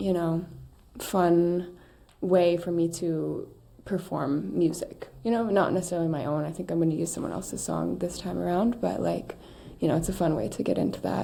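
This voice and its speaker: A woman with a fairly low pitch speaks at a moderate pace with ordinary pitch variation, and audible room echo surrounds her voice. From small-town US, raised in an RV. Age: 20s. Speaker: multidisciplinary artist and performer. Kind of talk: casual interview chat.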